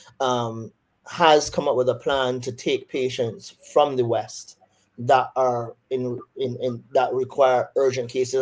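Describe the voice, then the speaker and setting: With a Barbadian accent, a man speaks at a medium pitch and with fairly even intonation. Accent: Barbadian, doesn't sound Jamaican. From Barbados. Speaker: surgeon. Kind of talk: interview on a webinar.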